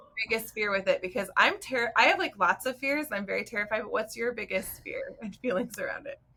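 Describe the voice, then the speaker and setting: With an American accent, a woman talks at a very fast pace with hardly any pauses. Noticeable background noise runs under her voice. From Arizona. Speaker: speech language pathologist. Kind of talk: casual chat.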